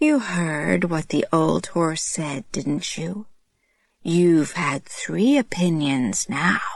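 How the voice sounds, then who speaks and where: A put-on character voice sits at middle pitch. It moves at a very slow pace. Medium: read story. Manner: smug, taunting.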